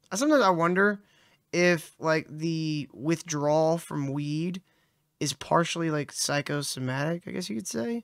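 The speaker talks at a moderate pace against a quiet background, with a dry sound and no echo. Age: 30s. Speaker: podcast co-host. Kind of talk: casual chat. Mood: joking, casual. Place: home room. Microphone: studio mic.

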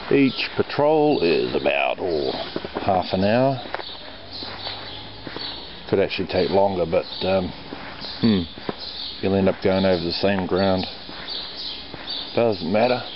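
Over noticeable background noise, a man with a fairly low pitch talks at a fairly slow pace with long, frequent pauses in a dry sound with no echo. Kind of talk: casual vlog chat. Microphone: phone near.

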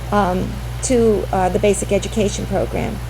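A woman's voice with audible room echo and music in the background. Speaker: state education official presenting funding formula. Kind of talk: presentation at school committee meeting. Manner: fast; halting, many fillers.

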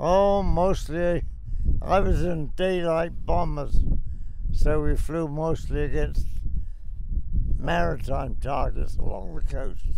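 A man talks at a very slow pace with long, frequent pauses. The sound is dry with no echo, and there is noticeable background noise. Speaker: war veteran. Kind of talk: interview answer. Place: plane. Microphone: handheld.

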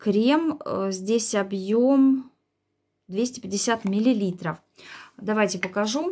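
Against a quiet background, a woman with a fairly high pitch and a dark, mellow tone speaks at a very slow pace, with lively intonation and long, frequent pauses. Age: 40s. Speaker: beauty vlogger. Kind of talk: product review vlog.

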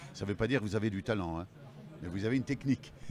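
A man with a fairly low pitch speaks with lively intonation, in a dry sound with no echo and noticeable background noise. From France. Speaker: voice actor. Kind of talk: casual interview. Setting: convention stage with crowd noise. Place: hall. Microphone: handheld.

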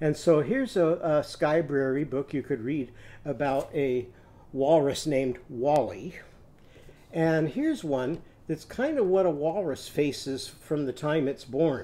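Using a dark, mellow tone, a man talks at a fairly slow pace with ordinary pitch variation. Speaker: teacher reading to children. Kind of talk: storytime lesson talk. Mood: warm, gentle. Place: home room. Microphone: webcam.

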